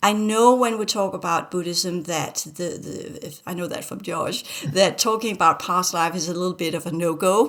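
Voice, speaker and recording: This woman has a Danish accent and keeps a moderate pace. Her pitch varies in an ordinary way. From Denmark. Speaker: spiritual teacher. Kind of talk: casual chat. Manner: halting.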